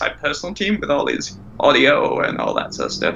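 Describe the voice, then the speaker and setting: A man speaks over noticeable background noise. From northern England, North Yorkshire. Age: 20s. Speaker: podcast guest. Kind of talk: casual chat. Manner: halting.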